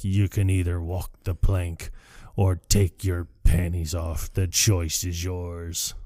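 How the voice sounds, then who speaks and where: Using a put-on character voice, a man speaks at a fairly slow pace with a very deep, low pitch and monotone, flat intonation. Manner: playful, cartoonish.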